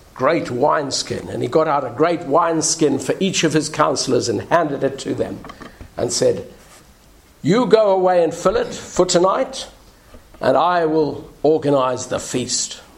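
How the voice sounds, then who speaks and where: The man has a fairly high pitch and a fairly slow pace. Background noise is noticeable. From South Africa. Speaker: minister. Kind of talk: sermon. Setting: church.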